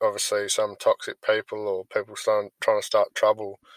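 The sound is dry and close with no echo as a man speaks in an Australian accent. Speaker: podcast host and gaming team leader. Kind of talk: casual interview.

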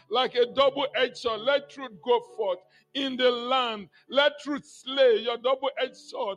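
Music plays behind a man whose pitch is extremely high. He talks at a fairly slow pace. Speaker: intercessor in prayer meeting. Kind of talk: fervent prayer.

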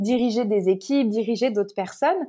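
A woman with an unremarkable speaking voice talks at a moderate pace, her pitch fairly high with ordinary variation. The recording is very clean, with a silent background. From France (Paris). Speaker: spiritual life coach and Reiki practitioner. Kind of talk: podcast interview.

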